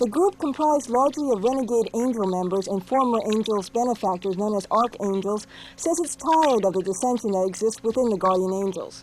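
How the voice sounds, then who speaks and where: A woman talks at a fairly quick pace with hardly any pauses, in an unremarkable speaking voice. Her pitch is fairly high and her intonation lively. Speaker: TV news reporter. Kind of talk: television news field report voiceover.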